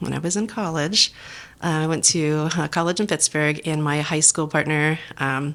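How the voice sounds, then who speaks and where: A woman with a western Pennsylvania accent speaks at a moderate pace in a very deep, low voice, her intonation fairly even. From southwestern Pennsylvania. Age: 40s. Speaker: restaurant general manager. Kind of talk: podcast interview.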